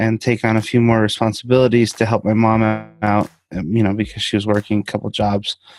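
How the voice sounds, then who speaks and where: The voice, with a Spanish accent, stays monotone and flat over music in the background. The sound is dry and close with no echo. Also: man. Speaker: interviewee sharing personal story. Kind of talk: interview.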